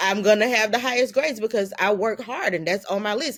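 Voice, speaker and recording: A woman talks at a moderate pace in an ordinary speaking voice with a medium pitch. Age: 50s. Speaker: filmmaker. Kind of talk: interview conversation. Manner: casual, conversational.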